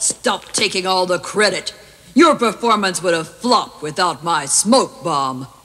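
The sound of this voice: Using a cartoonish character voice, a man projects loudly at a high pitch. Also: moderate pace.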